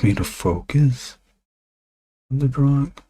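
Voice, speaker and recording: A man whispers quietly at a very slow pace. His voice is somewhat breathy. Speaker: comic illustrator streaming while drawing. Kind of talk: casual live-stream talk while drawing. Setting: live stream. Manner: quiet, near whisper; halting, many fillers.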